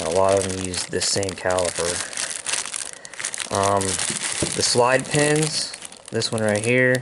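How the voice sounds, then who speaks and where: Amid noticeable background noise and audible room echo, a man speaks very slowly at a fairly low pitch with ordinary pitch variation. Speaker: atv hobbyist mechanic. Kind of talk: tutorial. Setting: outdoors. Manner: casual, filler-heavy.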